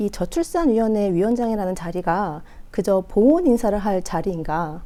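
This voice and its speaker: A woman with a slight non-native accent speaks at a moderate pace in a fairly high pitch. Her tone is dark and mellow, and her pitch swings very widely. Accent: slight foreign-tinged Korean pronunciation. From France. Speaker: political commentator. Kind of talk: political commentary broadcast. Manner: hesitant fillers.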